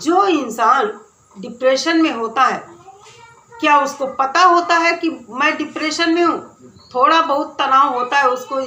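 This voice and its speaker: Over noticeable background noise and audible room echo, a woman speaks in a raised, projected voice with lively intonation. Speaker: YouTube commentary vlogger. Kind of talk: opinion commentary vlog.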